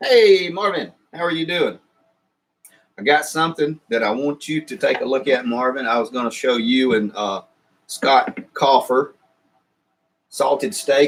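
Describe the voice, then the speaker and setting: A man with a Southern US accent, fairly high in pitch, lively in intonation, at a fairly slow pace with long, frequent pauses. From US South. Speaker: YouTuber. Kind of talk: live stream chat. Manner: halting.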